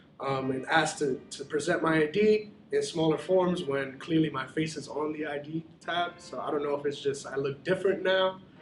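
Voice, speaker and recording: A man with an American accent talks at a fairly quick pace and fairly high pitch. His intonation is fairly even, with noticeable background noise behind him. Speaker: university student. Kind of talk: documentary interview. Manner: measured, hesitant with filler ums.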